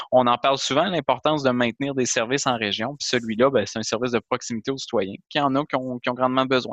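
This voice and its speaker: At a very fast pace with hardly any pauses, a man with a medium-pitched voice speaks with fairly even intonation in a dry, close sound with no echo. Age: 30s. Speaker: member of parliament. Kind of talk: interview.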